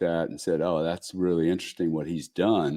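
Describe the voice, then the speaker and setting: A man with a Louisiana accent speaks in a flat monotone, his very deep, low voice dark and mellow in tone. The sound is dry and close with no echo, over a quiet background. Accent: Louisiana Southern US. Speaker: businessman and investor. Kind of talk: podcast interview. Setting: live show.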